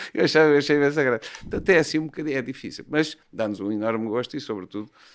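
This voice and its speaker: A fairly high-pitched man at a very fast pace, with ordinary pitch variation. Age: 60s. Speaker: bullfighting horseman and horse trainer. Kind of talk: podcast interview. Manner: hesitant, with fillers and repetitions.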